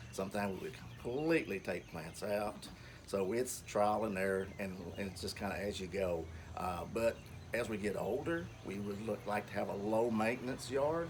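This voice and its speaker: Audible room echo surrounds a man speaking at a fairly low pitch and moderate pace with ordinary pitch variation. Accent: Kentucky. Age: 60s. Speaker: home gardener. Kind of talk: garden tour talk. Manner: halting, many fillers.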